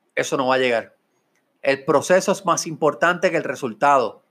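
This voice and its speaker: The recording is very clean and the background silent. A man's fairly quick speech carries ordinary pitch variation. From Puerto Rico (Mayagüez). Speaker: podcast host, business consultant and real estate broker. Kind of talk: motivational talk. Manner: animated.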